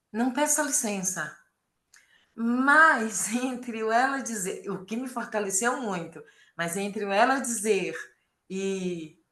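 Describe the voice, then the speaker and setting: A woman's fairly high, bright and sharp voice, very slow with long, frequent pauses and lively intonation, with audible room echo. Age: 60s. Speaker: course participant. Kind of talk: group sharing in online workshop. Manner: halting.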